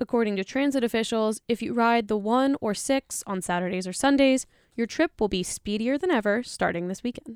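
A woman with an unremarkable speaking voice talks at a fairly quick pace, her pitch fairly high and her pitch variation ordinary. The recording is very clean and dry, close, with no echo and a silent background. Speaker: radio news host. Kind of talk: news reading. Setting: studio.

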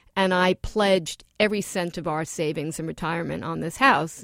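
A woman with an American accent and an ordinary speaking voice talks at a moderate pace and fairly low pitch, in a dry, close sound with no echo on a very clean recording with a silent background. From New York, Queens. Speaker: author and former foreign correspondent. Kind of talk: interview.

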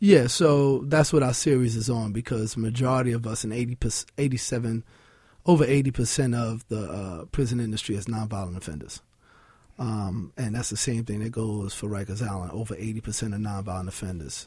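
With a New York accent, a man talks at a fairly quick pace in a medium pitch, his dark, mellow tone somewhat breathy and his pitch varying in an ordinary way. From New York City (Williamsburg, Brooklyn). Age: 40s. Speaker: nonprofit founder and fitness entrepreneur. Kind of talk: radio interview.

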